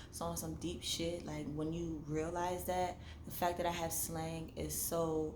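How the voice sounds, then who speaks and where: A woman speaks at a fairly slow pace, with audible echo from the room. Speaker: vlogger and novelist. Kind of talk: casual monologue vlog. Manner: animated.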